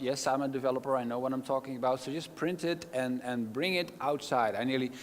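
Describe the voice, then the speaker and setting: A man with a Dutch accent, medium in pitch, at a moderate pace with ordinary pitch variation. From Netherlands. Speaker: keynote speaker. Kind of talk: conference talk. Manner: animated.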